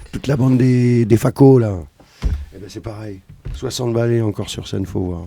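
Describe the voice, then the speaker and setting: A man with a medium-pitched voice speaks at a moderate pace with ordinary pitch variation, big swings in loudness, and long, frequent pauses. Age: 50s. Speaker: musician. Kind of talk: casual chat.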